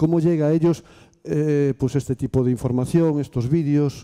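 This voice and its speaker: Speaking at a fairly quick pace, a man with a dark, mellow tone uses ordinary pitch variation against a quiet background. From Spain, Galicia (Ferrol); Galicia, Spain. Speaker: workshop participant, education worker; audience member. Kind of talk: audience question. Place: classroom.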